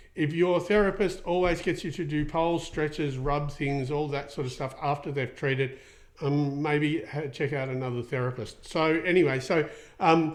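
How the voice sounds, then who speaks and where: A man speaks with an Australian accent and a fairly high pitch. His intonation stays fairly even. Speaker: equine soft tissue therapist, podcast host. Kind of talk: podcast Q&A with live viewers. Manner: fast; many fillers, casual.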